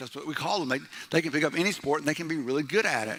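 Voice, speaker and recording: Loud and animated, a man speaks in a bright, sharp tone. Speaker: pastor. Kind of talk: sermon. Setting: church.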